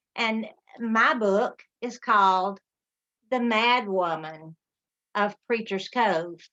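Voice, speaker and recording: Very slowly and with long, frequent pauses, a woman with a Southern US accent speaks in a bright, sharp tone at a fairly high pitch with ordinary variation. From Alabama. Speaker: author. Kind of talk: book presentation. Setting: video call.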